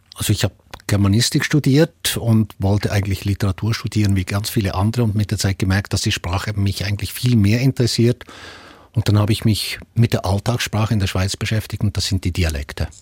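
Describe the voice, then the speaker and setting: Fairly low-pitched and somewhat breathy, a man speaks at a fairly quick pace with ordinary pitch variation. The sound is dry and close, with no echo. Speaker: dialectologist professor. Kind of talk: expert discussion.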